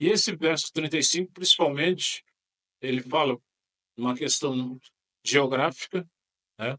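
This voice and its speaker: Speaking at a moderate pace with long, frequent pauses, a man has a bright, sharp tone and ordinary pitch variation. The sound is dry and close, with no echo. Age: 60s. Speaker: pastor. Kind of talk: podcast interview. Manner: halting.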